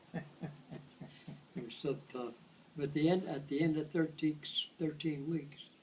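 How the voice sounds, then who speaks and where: A man with an American accent talks very slowly in a fairly high pitch, somewhat breathy and monotone, with flat intonation. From United States. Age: 80s+. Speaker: World War II veteran. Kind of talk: interview answer.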